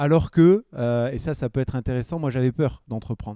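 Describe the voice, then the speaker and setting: A man talks fairly quickly in a medium pitch with ordinary rises and falls. The recording is very clean and dry, with a silent background and close sound free of echo. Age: 40s. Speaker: entrepreneur, former BMX athlete. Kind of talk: podcast interview. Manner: hesitant, many fillers.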